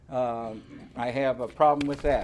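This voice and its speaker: An ordinary speaking voice: a man with an American accent talks at a moderate pace with fairly even intonation. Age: 60s. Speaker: reverend and cannabis advocacy director. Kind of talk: public hearing testimony. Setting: public hearing.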